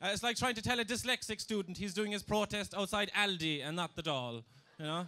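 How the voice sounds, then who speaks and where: Raising and projecting his voice, a man with a Kerry Irish accent talks at a fairly quick pace, high in pitch, with a bright, sharp tone and lively intonation. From Ireland, southwest County Kerry. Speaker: comedian. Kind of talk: stand-up. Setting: stage with audience.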